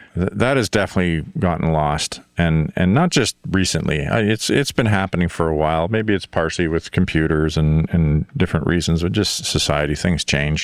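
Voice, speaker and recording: Noticeable background noise sits behind a man with a very deep, low pitch. His loudness stays very even at a moderate pace, in a dry, close sound with no echo. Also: ordinary pitch variation. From Northern Ontario, Canada. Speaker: podcast host, music producer. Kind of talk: casual interview chat.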